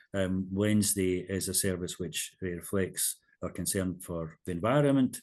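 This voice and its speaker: With a Scottish accent, a man speaks at a very deep, low pitch and ordinary pitch variation. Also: moderate pace. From Scotland. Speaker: minister and hymn composer. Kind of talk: interview.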